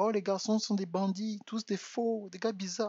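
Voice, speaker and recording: The man is soft-spoken. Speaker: relationship coach. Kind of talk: live stream monologue. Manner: halting, repeats words.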